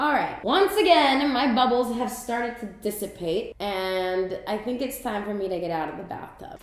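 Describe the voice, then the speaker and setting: A high-pitched woman speaks at a moderate pace with hardly any pauses, her loudness swinging widely amid audible room echo. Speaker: comedy sketch host. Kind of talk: comedic monologue to camera. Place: bathroom.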